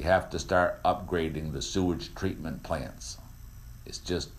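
A man's very deep, low voice with vocal fry, a fairly slow pace, ordinary pitch variation and audible room echo. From Vermont. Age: 50s. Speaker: radio host. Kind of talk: talk radio monologue. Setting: studio.

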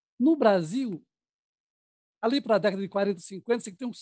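A man speaks at a moderate pace with a high pitch. The sound is dry and close, with no echo. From Bahia, Brazil. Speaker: filmmaker, historian, film club activist. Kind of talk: historical talk on panel.

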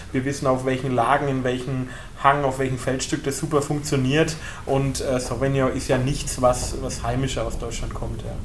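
A man with a Franconian accent speaks at medium pitch and a moderate pace, with noticeable background noise and audible room echo. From southern Franconia, Germany (Bullenheim). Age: 20s. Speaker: winemaker. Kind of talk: wine tasting talk. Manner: animated.

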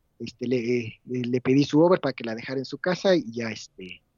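Using a plain, everyday voice, a man keeps a moderate pace and ordinary pitch variation. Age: 30s. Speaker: podcast guest. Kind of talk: casual chat.

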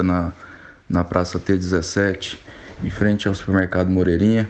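Against noticeable background noise, a man speaks at a fairly slow pace in a fairly low pitch, his intonation flat and monotone. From Brazil, Goiânia. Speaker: civil engineer and former skateboarder. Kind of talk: recorded message interview. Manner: halting.

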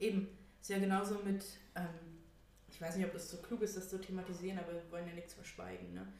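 A woman talks very fast in a flat monotone, with long, frequent pauses and big swings in loudness. Room echo and noticeable background noise are present. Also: medium pitch for a woman. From Thuringia, Germany (Erfurt). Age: 20s. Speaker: podcast co-host. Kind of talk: casual chat. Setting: home, at a table in the living room.

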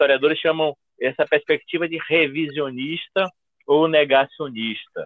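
A man's unremarkable speaking voice, fairly high-pitched, at a moderate pace with fairly even intonation. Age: 50s. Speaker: history professor. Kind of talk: interview.

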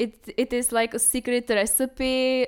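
A woman with a Czech accent on a very clean recording over a silent background. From Czech Republic, Brno. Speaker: workshop participant. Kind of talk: casual chat.

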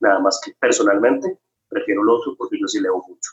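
A man with a Costa Rican accent at a moderate pace. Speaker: chef and restaurant owner. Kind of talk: interview.

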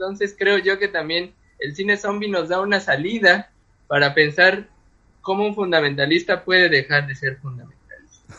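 A high-pitched man's voice at a fairly slow pace, with ordinary pitch variation. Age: 30s. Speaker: literature doctoral student and author. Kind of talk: casual chat.

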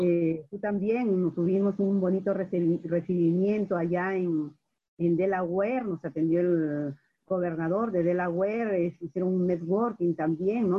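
At a fairly slow pace, a woman talks in a fairly low pitch with fairly even intonation. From Peru. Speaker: radio host and business coach. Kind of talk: interview.

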